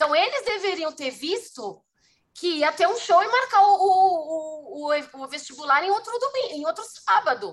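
Extremely high-pitched woman's voice with very wide pitch swings. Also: fairly slow pace. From São Paulo city, Brazil. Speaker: festival producer. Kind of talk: casual interview.

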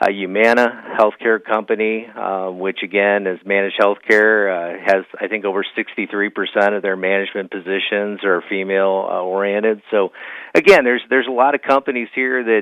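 A man with a fairly low pitch, a moderate pace and fairly even intonation.

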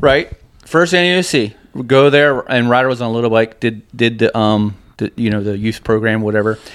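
An ordinary speaking voice from a man, medium in pitch, with ordinary pitch variation at a moderate pace. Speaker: racer. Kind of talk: casual chat.

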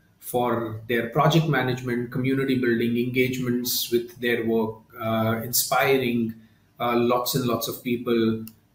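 Against noticeable background noise, a man speaks at a fairly slow pace with monotone, flat intonation. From India, Mumbai. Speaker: company founder and CEO. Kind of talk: interview. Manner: hesitant, many fillers.

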